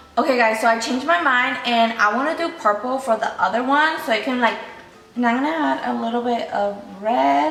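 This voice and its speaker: Over noticeable background noise, a woman speaks at a fairly quick pace in a high pitch, with lively intonation. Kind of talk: casual talk to camera.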